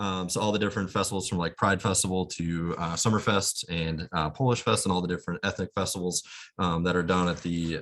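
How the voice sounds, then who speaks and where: Against a quiet background, a man talks at a very fast pace, his very deep, low voice keeping fairly even intonation. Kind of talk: online presentation.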